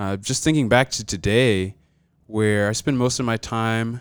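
A man with an American accent speaks at a moderate pace, with fairly low pitch and fairly even intonation in an ordinary speaking voice. The recording is very clean, with a silent background. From US South, South Georgia. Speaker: college student. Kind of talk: casual chat.

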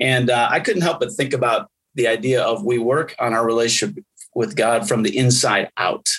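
A man's normal speaking voice, medium in pitch, with lively intonation and very even loudness. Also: moderate pace. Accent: American. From US Midwest, Wisconsin. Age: 50s. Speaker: pastor. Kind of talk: casual chat.

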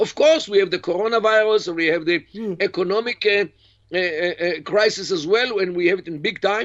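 This voice carries an Israeli accent and ordinary pitch variation. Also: man, high pitch for a man, moderate pace. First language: Hebrew. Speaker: professor and Middle East expert. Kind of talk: interview. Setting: video call.

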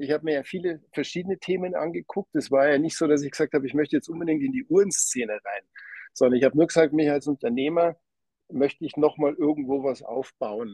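A man talks very fast in a fairly high pitch with a dark, mellow tone. His pitch varies in an ordinary way, and the sound is dry and close with no echo. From Lower Bavaria, Germany. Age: 40s. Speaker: watch company owner. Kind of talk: interview.

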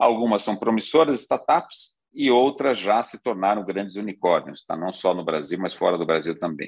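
Here is a man with a plain, everyday voice. He talks at a moderate pace with lively intonation. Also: fairly low pitch for a man, hardly any pauses. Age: 50s. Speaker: financial industry executive and board advisor. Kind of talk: conference talk.

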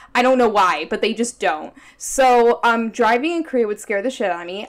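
A woman's normal speaking voice, fairly high in pitch, at a fairly quick pace with an American accent. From United States. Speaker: podcast co-host. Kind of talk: casual chat.

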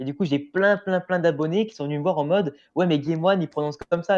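A man speaks at a very fast pace in a dark, mellow tone. His pitch varies in an ordinary way over a quiet background. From France, Grenoble / Lyon region. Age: 20s. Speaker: YouTuber, anime and manga content creator. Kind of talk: casual chat.

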